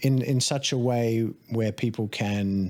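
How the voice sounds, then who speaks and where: With an Australian accent, a man talks at a medium pitch and with fairly even intonation. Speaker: life coach and stunt performer. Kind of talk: casual podcast conversation. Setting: studio.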